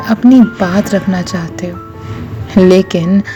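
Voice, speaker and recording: Music plays in the background as a woman speaks at a medium pitch. Her pitch swings very widely. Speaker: voice-over artist. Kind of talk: spoken-word relationship advice.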